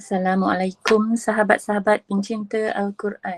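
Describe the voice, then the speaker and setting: In a dry, close sound with no echo, a woman speaks fairly slowly at a medium pitch with fairly even intonation. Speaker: Quran recitation teacher. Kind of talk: lesson introduction to online viewers. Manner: warm, friendly.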